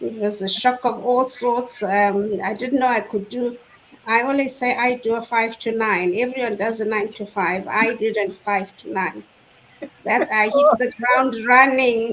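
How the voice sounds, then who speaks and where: Using an ordinary speaking voice, a woman talks at a fairly slow pace with fairly even intonation and a fairly high pitch. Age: 60s. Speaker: online business owner sharing her story. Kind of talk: testimony in a live online panel chat. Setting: live online stream.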